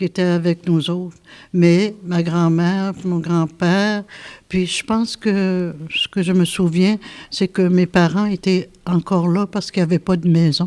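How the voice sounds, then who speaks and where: On a very clean recording with a silent background, a woman speaks fairly slowly in a fairly low, monotone, flat voice. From Quebec North Shore, Innu community. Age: 70s. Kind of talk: interview testimony. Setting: classroom with students listening. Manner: hesitant, many fillers.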